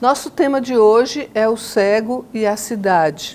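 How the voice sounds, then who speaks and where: This woman has an ordinary speaking voice, fairly high in pitch with ordinary pitch variation. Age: 60s. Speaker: podcast moderator, architecture professor. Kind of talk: podcast conversation. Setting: university.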